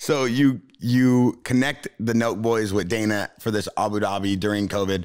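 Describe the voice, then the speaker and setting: A man talks at a moderate pace with hardly any pauses against a quiet background. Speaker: podcast host. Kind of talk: casual chat. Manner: animated. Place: studio. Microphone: studio mic.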